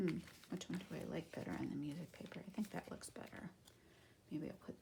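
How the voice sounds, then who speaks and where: At a moderate pace, a woman is whispering. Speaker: crafting YouTuber. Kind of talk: tutorial. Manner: casual, thinking aloud.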